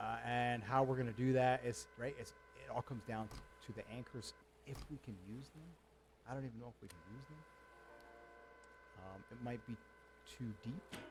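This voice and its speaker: A man's medium-pitched voice at a moderate pace, with big swings in loudness, ordinary pitch variation, long and frequent pauses, and noticeable background noise. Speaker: gaming streamer. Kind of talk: gameplay commentary. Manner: halting.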